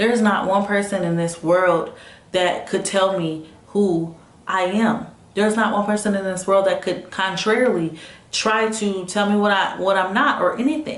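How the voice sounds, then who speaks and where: Medium-pitched female speech at a moderate pace, fairly even in intonation, over noticeable background noise. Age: 20s. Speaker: motivational vlogger. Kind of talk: casual talk to camera.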